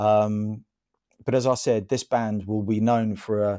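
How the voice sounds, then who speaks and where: Over a very clean recording with a silent background, a man with a southern English accent speaks in a dark, mellow tone at a fairly low pitch, his intonation monotone and flat. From St Albans, Hertfordshire, England. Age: 40s. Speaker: gardener. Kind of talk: casual chat. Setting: radio studio.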